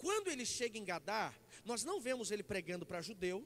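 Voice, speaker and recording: Animated in tone, a man with a high pitch speaks at a moderate pace. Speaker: pastor. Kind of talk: sermon. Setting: church.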